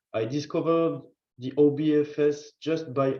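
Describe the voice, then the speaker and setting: A man speaks with a French accent at a fairly high pitch. Audible room echo surrounds his voice. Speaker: field station manager. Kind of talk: virtual conference introduction. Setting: video call. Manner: slow.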